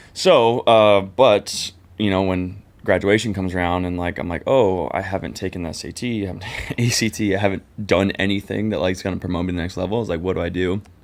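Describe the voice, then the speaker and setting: Rushing at a very fast pace, a man with a Californian accent and a very deep, low pitch keeps his intonation fairly even. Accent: Californian American. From Southern California (Orange County). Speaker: podcast co-host and business founder, military veteran. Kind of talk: casual chat interview. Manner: casual, filler-heavy.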